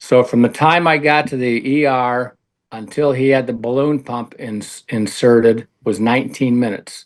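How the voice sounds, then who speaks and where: Against a quiet background, a man with a medium pitch uses fairly even intonation in an ordinary speaking voice. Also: moderate pace. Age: 60s. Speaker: retired coach and athletic director. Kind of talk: radio interview.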